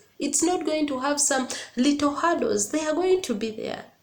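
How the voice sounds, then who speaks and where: Her intonation lively, a woman with a high pitch speaks over audible room echo. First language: not English. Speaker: YouTuber giving relationship advice. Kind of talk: casual vlog monologue. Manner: animated, repetitive emphasis.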